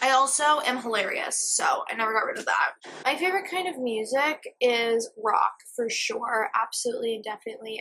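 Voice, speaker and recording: Her voice raised and projected, a woman with an American accent speaks at a high pitch and moderate pace with lively intonation. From Boston area, Massachusetts. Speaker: vlogger. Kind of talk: casual Q&A chat. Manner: loud.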